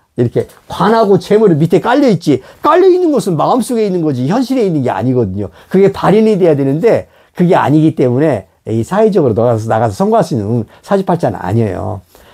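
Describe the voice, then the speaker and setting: A man talks at a very fast pace, his pitch high and swinging very widely. His tone is dark and mellow, and the recording is very clean with a silent background. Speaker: religious leader and teacher. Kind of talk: religious talk on fortune-telling. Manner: conversational with many fillers.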